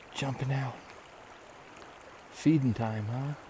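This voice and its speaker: The intonation stays fairly even. Noticeable background noise runs underneath. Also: man. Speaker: hiking vlogger. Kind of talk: casual trail vlog narration. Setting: outdoors at a lakeside campsite. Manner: hushed, quiet; hesitant, many fillers.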